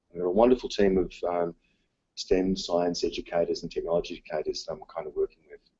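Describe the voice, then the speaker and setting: At a very fast pace, a man speaks in an Australian accent with big swings in loudness. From Australia, south-east Melbourne. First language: Dutch. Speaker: teacher. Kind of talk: conference presentation. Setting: conference session, live-streamed. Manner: hesitant, many fillers.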